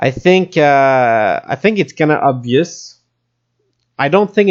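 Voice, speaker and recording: The speaker goes at a fairly slow pace in a Quebec accent. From Quebec, Canada. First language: French. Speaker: crypto YouTuber. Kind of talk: market analysis commentary. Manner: halting with fillers.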